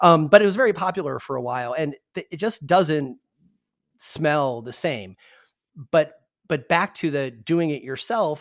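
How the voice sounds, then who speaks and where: In a very clean recording with a silent background, a man with a Midwestern American accent speaks at a fairly slow pace. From US Midwest, Michigan. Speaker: cannabis podcast host. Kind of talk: casual interview. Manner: hesitant, many fillers.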